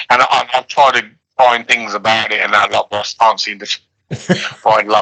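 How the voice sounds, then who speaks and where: A man with vocal fry speaks at a medium pitch, with a bright, sharp tone and ordinary pitch variation. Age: 60s. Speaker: professional darts player. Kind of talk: interview. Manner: halting, many fillers.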